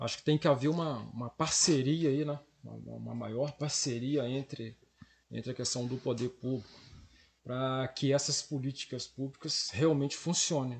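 Somewhat breathy, a man's voice moves at a moderate pace with fairly even intonation. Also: medium pitch for a man. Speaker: history and geography teacher. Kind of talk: interview.

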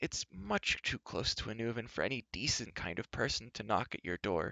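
In a put-on character voice, a man speaks at a moderate pace and a fairly low pitch, with a bright, sharp tone, vocal fry and big pitch swings, in a dry, close sound with no echo.

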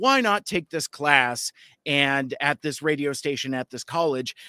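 Speaking with an American accent, a man has a bright, sharp tone at a fairly high pitch. His pitch variation is ordinary. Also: dry, close sound with no echo. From US West Coast. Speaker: podcast host. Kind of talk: casual chat. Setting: video call.

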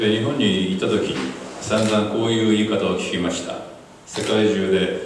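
In strong room echo with light background noise, a man speaks at a moderate pace. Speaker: visiting writer lecturing. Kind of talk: lecture. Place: hall.

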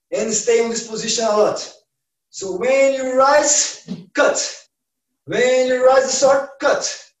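In a quiet background with audible room echo, a man speaks at an extremely high pitch. His pace is very slow, with long, frequent pauses. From Brazil. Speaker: martial arts instructor. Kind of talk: online class instruction. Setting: video call. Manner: halting in English. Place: home room. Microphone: camera far.

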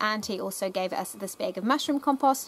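Here a woman talks. She goes at a fairly quick pace. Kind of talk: casual vlog chat. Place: garden. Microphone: phone near.

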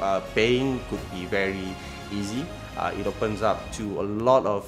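A man's fairly low voice at a moderate pace, fairly even in intonation, with clear music in the background. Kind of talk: interview answer. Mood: friendly, smiling.

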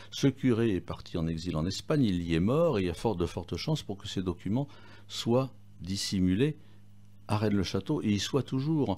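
On a very clean recording with a silent background, a man speaks with lively intonation and a dark, mellow tone. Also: moderate pace. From southern France. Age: 50s. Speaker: restaurateur and author, former mayor. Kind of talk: radio interview. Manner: halting, repeats words.

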